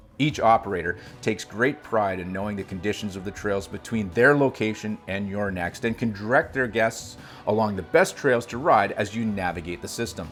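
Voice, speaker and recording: A man's fairly low voice at a fairly quick pace, with ordinary pitch variation and music in the background. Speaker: snowmobile travel show host. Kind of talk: scripted narration.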